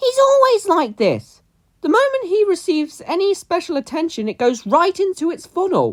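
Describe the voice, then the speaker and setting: This put-on character voice sits at an extremely high pitch with very wide pitch swings, delivered at a moderate pace. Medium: read story.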